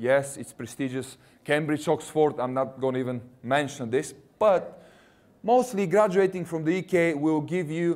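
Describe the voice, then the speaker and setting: Talking at a moderate pace with ordinary pitch variation, a man with a Russian accent has a fairly high pitch. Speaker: university recruitment representative. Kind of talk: presentation to students.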